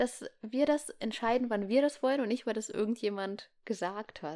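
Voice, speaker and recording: Over a silent background in a very clean recording, a woman with a fairly high pitch talks at a moderate pace, her pitch swinging very widely. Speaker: podcast co-host. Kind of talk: casual chat. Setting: home room. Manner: animated.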